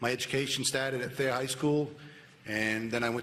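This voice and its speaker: Over noticeable background noise, a man with a medium pitch talks at a very fast pace with fairly even intonation. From New Hampshire, Cheshire County. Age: 50s. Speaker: police officer, sheriff candidate. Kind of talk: candidate statement.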